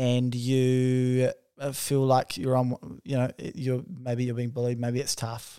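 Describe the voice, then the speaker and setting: Speaking at a fairly slow pace in a New Zealand accent, a man is heard in a very clean recording with a silent background. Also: dry, close sound with no echo. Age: 20s. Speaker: podcast co-host. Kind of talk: casual chat. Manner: animated.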